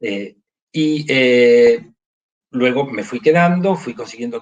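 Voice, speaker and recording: A man with an unremarkable speaking voice talks at a fairly high pitch. His intonation is lively. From Argentina, Buenos Aires. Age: 60s. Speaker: choir conductor and conducting professor. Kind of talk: interview.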